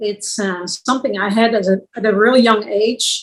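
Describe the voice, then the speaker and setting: In a Dutch accent, the words come out at a fairly slow pace. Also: woman. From Netherlands. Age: 60s. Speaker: visual artist. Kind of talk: interview. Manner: halting.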